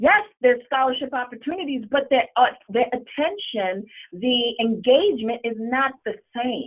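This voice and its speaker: Her voice is high-pitched, with lively intonation and an animated tone. The woman keeps to a moderate pace. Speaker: school counselor running a scholarship social media page. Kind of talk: webinar presentation.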